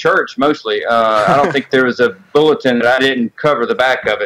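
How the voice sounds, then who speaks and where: Speaking in a Southern US accent, this man keeps his pitch medium. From Mississippi, US South. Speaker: sculptor. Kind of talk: casual interview chat. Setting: Skype call.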